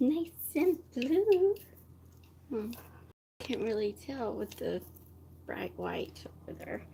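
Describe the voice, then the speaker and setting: A soft-spoken woman at a very slow pace, with long, frequent pauses. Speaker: vlogger. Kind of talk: casual live stream chat. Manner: halting.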